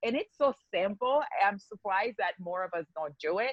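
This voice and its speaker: A woman speaks with lively intonation. She has a slight non-native accent. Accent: slight foreign. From Haiti. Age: 40s. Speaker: skincare business owner. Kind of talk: podcast interview.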